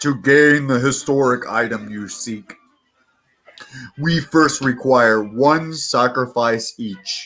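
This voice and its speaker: Putting on a character voice, a man bellows in a booming medium-pitched tone at a very slow pace. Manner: commanding.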